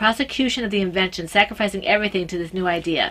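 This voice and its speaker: Talking at a very fast pace, a woman speaks with an American accent. Her pitch variation is ordinary. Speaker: podcast host. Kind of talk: reading aloud. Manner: halting.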